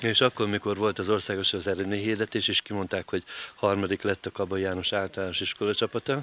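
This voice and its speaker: A man with a fairly low, bright, sharp voice talks very fast in a monotone, flat intonation, the sound dry with no echo. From Hungary. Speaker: local TV interviewer. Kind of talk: interview. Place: garden. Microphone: handheld.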